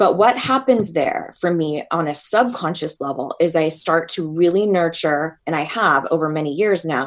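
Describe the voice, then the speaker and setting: A plain, everyday voice from a woman, fairly low in pitch, at a fairly slow pace. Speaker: self-help coach. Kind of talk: interview. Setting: video call.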